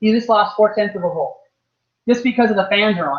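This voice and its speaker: This man has a high pitch and ordinary pitch variation. He talks at a fairly quick pace. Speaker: RC racing team manager giving a clinic. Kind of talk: workshop clinic. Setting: race track with live audience. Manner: fast.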